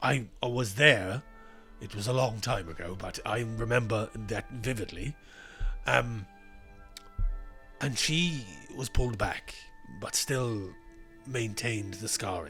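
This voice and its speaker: Clear music plays behind a raspy, put-on character voice that moves at a fairly slow pace with long, frequent pauses. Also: man, medium pitch for a man. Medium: actual play. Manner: measured, formal, hedging.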